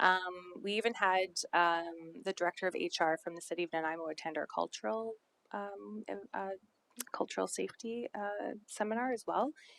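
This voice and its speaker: Her voice dry and close with no echo, a woman with an ordinary speaking voice talks at a moderate pace and medium pitch with ordinary pitch variation. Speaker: social planning presenter. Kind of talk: council presentation.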